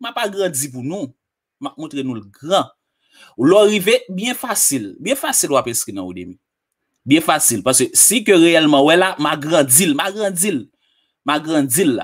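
Against a quiet background, a man with vocal fry talks at a moderate pace, with very wide pitch swings and big swings in loudness. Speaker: online tutorial presenter; presenter. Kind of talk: tutorial. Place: home room. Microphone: studio mic.

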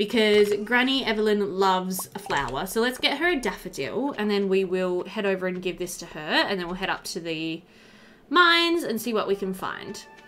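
Faint music sits behind a woman speaking at a moderate pace, with medium pitch, a fairly bright tone and lively intonation.

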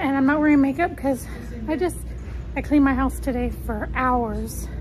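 A woman talks with a high pitch and ordinary pitch variation. Her pace is moderate.

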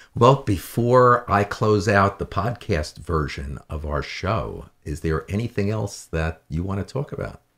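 In a very clean recording with a silent background, a man with a fairly low voice and vocal fry talks at a fairly slow pace, with lively intonation and big swings in loudness. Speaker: talk show host. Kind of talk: casual interview. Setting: studio. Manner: enthusiastic.

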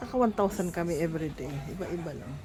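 Crowd noise and audible room echo surround a woman speaking at a moderate pace with ordinary pitch variation. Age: 60s. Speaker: vlogger. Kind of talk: casual vlog.

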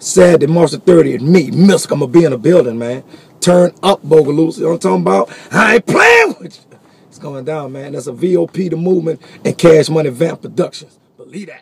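In a dry recording with no echo, a man speaks at a fairly quick pace with big swings in loudness. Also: ordinary pitch variation. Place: car. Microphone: phone near.

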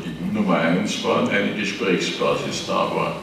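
A man speaks at a fairly slow pace. The room echo is audible and the background noise is noticeable. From Austria. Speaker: former industry association official. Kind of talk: panel discussion. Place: hall.

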